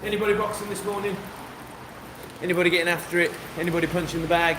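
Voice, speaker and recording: A man with a West Midlands accent, high in pitch, flat and monotone, at a very fast pace with long, frequent pauses, amid noticeable background noise and audible room echo. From West Midlands, England (Kidderminster). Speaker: boxing coach and livestreamer. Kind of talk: casual livestream chat.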